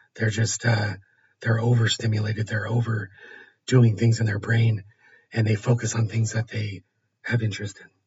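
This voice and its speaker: A somewhat breathy man at medium pitch and moderate pace, monotone and flat, with long, frequent pauses and big swings in loudness. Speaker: host's husband with ADHD. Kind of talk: casual conversational podcast.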